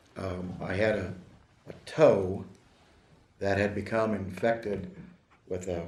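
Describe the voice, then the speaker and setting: A man speaks with a somewhat breathy voice. Audible room echo surrounds his words. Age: 60s. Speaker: attorney in disciplinary case. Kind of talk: court hearing statement. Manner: formal.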